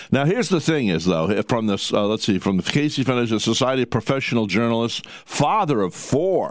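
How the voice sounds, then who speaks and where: This is a normal speaking voice with lively intonation and very even loudness. It moves at a fairly quick pace with hardly any pauses. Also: man, medium pitch for a man. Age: 60s. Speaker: radio host. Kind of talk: casual chat.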